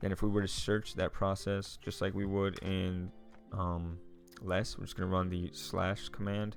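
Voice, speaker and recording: This man's voice is very deep and low, delivered in a flat monotone. Music plays behind him. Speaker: tech YouTuber reviewing a book. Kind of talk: screen-share tutorial. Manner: fast; casual, many fillers.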